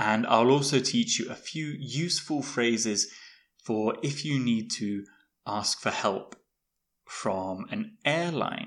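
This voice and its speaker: Very slowly and with very wide pitch swings, a man speaks at a medium pitch. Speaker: podcast host, English teacher. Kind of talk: podcast monologue for English learners. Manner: clear, learner-friendly.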